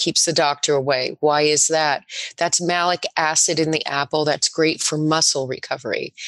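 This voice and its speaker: A woman speaks in a normal speaking voice with an American accent and ordinary pitch variation, at a moderate pace. The sound is dry and close, with no echo. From New Jersey (Spring Lake). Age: 60s. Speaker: juice bar owner. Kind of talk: casual chat.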